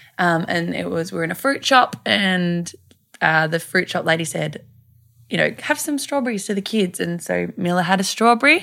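In an Australian accent, a woman with a fairly low pitch speaks at a moderate pace with lively intonation and a bright, sharp tone, on a very clean recording with a silent background. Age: 20s. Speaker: mother and blogger. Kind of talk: casual chat. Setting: recorded in a bed.

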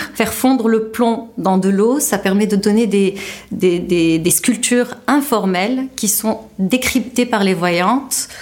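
With noticeable background noise, a woman speaks very slowly at a very even loudness. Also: fairly high pitch for a woman, ordinary pitch variation. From Tunisia. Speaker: visual artist. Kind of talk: interview testimony.

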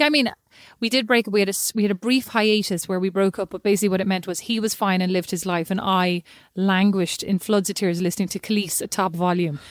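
In an Irish accent, a woman talks at a very fast pace and a medium pitch. Her pitch varies in an ordinary way on a very clean recording with a silent background. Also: dry, close sound with no echo. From Ireland, lived in Kilkenny. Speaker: podcast co-host. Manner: chatty, animated storyteller.

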